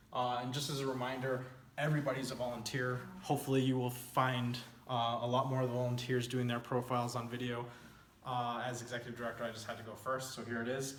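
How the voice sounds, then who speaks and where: Talking at a very fast pace in a monotone, flat intonation, a man of medium pitch is heard with audible room echo. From El Paso-Juarez border, Texas/Mexico. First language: Spanish. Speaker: nonprofit founder and executive director. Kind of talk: informal presentation over slides. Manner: conversational with frequent fillers.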